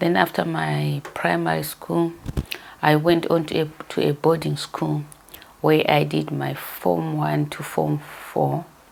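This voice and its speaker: Against noticeable background noise, a woman with a Zimbabwean accent speaks at a very slow pace. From Zimbabwe, Masvingo, Gutu rural area. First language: Shona. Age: 60s. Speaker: interviewee telling her life story. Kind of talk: life story interview. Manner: hesitant, with fillers.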